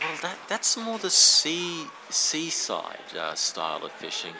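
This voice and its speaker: A man with an Australian accent over noticeable background noise. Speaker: angler. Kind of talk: casual chat. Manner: halting.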